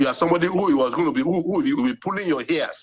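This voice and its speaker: Very wide pitch swings mark this man's high voice. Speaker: party campaign spokesperson. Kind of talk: TV news interview, heated debate. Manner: halting, repetitive.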